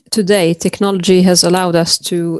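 A woman's fairly low voice, dry with no echo, over a quiet background. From Lebanon. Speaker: AI solutions architect and physicist; panelist. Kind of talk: online panel discussion. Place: home room. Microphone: video call.

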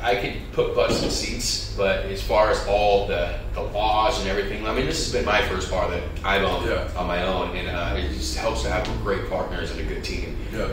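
With hardly any pauses, a man speaks amid audible room echo while music plays in the background. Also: moderate pace. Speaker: guest. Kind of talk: interview answer. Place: studio.

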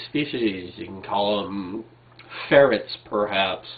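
The pace is fairly slow as a man talks. His pitch shows ordinary variation. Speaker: video blogger. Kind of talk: casual vlog commentary. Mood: wry, argumentative. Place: home room. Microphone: webcam.

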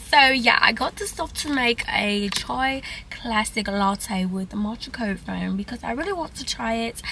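A raspy, put-on character voice in a British accent takes a playful tone at a moderate pace. Background noise is clearly heard. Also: woman, fairly high pitch for a woman. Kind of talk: casual vlog chat. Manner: playful, put-on.

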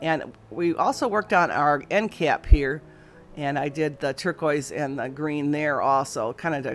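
A woman's very deep, low pitch at a fairly slow pace, with ordinary pitch variation and faint music in the background. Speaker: antique booth vendor. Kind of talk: casual vlog chat. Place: shop. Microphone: phone near.

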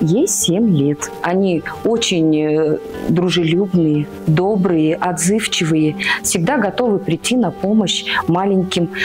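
A woman at a very slow pace over clear background music. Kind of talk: interview answer. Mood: warm, affectionate. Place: home room. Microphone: lapel.

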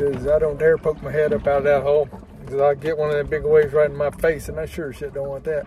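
There is light background noise as a man talks. His sound is dry, with no echo. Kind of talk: casual vlog chat. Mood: relaxed, wry. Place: boat. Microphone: phone near.

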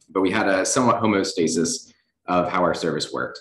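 A man with an American accent, fairly low-pitched and fairly quick, ordinary pitch variation, audible room echo. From Virginia (Lynchburg). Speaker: chief resident physician. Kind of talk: lecture. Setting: hospital auditorium, in person and streamed. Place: hall.

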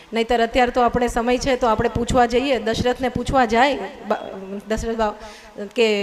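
There is noticeable background noise as a woman talks in a high pitch. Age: young. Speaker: social worker. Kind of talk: public speech. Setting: stage with audience. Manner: formal.

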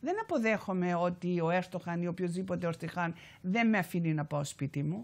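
In a Cypriot accent, a woman speaks at a fairly low pitch. Her pace is moderate, and her pitch varies in an ordinary way. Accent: Cypriot Greek. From Cyprus, Famagusta; Cyprus. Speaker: activist and author; guest. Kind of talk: TV interview. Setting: TV studio. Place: studio. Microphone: lapel.

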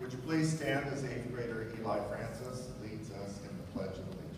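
A man speaks with ordinary pitch variation. Strong room echo and noticeable background noise surround his voice. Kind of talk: formal ceremony welcome speech. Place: hall. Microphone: pa.

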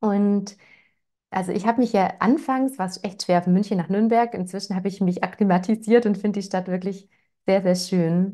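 A woman speaks in a dark, mellow tone at a moderate pace. Her intonation is fairly even, and the background is quiet. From Swabia, Germany (Ravensburg area, Lake Constance); Swabia. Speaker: parenting educator; parenting coach hosting webinar. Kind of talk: webinar, casual welcome chat. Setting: live online webinar. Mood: warm, cheerful. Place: home room. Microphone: lapel.

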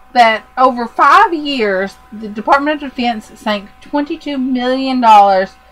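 Speaking at a fairly slow pace, a woman uses a high pitch with ordinary pitch variation over noticeable background noise. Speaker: podcast host. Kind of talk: casual chat.

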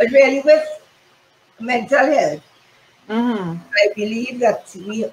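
A woman's voice at a fairly slow pace with lively intonation, audible room echo and light background noise. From Trinidad. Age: 70s. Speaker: fashion consultant and modeling teacher; modeling teacher. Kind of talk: casual interview. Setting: live-streamed video call. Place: home room. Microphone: video call.

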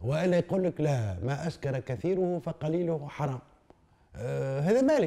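A man talks at a middling tempo. His pitch swings very widely, and the background stays quiet. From Tunisia, Tunis. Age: 70s. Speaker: philosopher; interviewee. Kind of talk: interview. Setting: Tunis. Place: home room.

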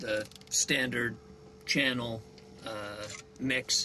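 Light background noise runs under the recording. The speaker is a man. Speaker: sailing vlogger. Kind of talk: tutorial. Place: boat. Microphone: lapel.

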